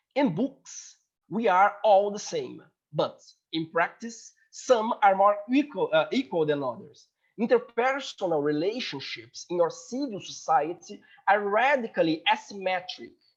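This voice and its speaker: A man with a Portuguese accent, high in pitch, fairly slow, with lively intonation. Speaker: law student presenting a paper. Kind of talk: conference paper presentation. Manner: halting.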